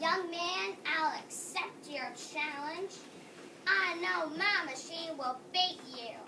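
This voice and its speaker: Someone performs a put-on character voice very slowly over clear background noise. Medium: audio drama. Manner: smug, confident.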